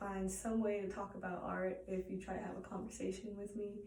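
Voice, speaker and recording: Audible room echo surrounds a woman speaking at a moderate pace. Her medium-pitched voice is monotone, with flat intonation. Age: 20s. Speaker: college student. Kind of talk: self-introduction speech. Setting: art studio. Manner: halting, many repetitions and fillers.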